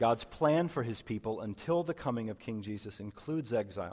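Using a normal speaking voice, a man talks at a moderate pace with lively intonation. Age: 30s. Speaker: pastor. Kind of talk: sermon. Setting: church.

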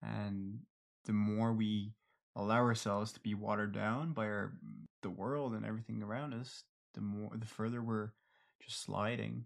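A man with a fairly low pitch talks at a moderate pace. His intonation is fairly even, and the background is quiet. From Ireland. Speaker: podcast co-host. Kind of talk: casual chat.

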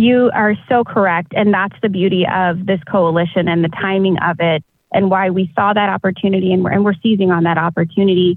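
A woman's unremarkable speaking voice in an American accent, with fairly even intonation, very even loudness and hardly any pauses. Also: medium pitch for a woman, fairly quick pace. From Texas, South Austin. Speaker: chamber of commerce president, lawyer. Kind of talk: interview.

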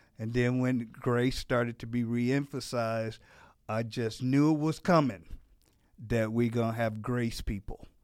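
An ordinary speaking voice, a man with a medium pitch and fairly even intonation at a fairly slow pace, on a very clean recording with a silent background. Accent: American. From Gary, Indiana (US Midwest, near Chicago). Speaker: pastor. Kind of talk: casual interview.

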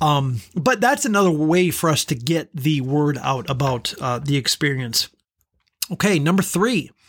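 A normal speaking voice from a man, fairly high-pitched, at a fairly slow pace with lively intonation and very even loudness. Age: 30s. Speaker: podcast host. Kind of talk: solo podcast recap.

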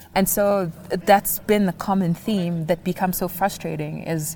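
Somewhat breathy voice with a dark, mellow tone and fairly even intonation. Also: woman. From Kenya. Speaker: documentary filmmaker. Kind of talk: interview conversation.

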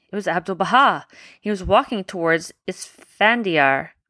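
Speaking at a moderate pace, a woman with an ordinary speaking voice and fairly low pitch is heard in a very clean recording with a silent background. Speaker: parent podcast host reading bedtime stories to children. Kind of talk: children's bedtime story reading aloud, with chat. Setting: home at bedtime, recorded with children nearby. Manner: soft, sleepy wind-down at night.

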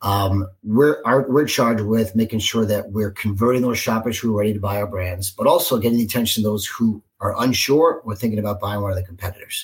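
A man with an American accent talks at a fairly quick pace, his fairly low voice somewhat breathy and his intonation fairly even. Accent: New York, moderated by Cincinnati. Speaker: marketing executive. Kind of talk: casual interview.

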